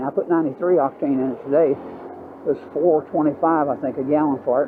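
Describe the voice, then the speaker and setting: At a very fast pace, a man with a Southern US accent talks in a fairly high pitch, the sound dry with no echo and some light background noise. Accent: Southern US (Georgia). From US South, Georgia. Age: 80s+. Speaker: motorcycle vlogger. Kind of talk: casual ride-along vlog monologue. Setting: outdoors riding a motorbike. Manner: halting, many fillers. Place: motorbike.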